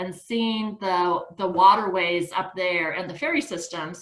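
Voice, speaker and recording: An unremarkable speaking voice at a moderate pace with ordinary pitch variation. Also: woman. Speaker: nonprofit founder and chair. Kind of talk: presentation on a video call.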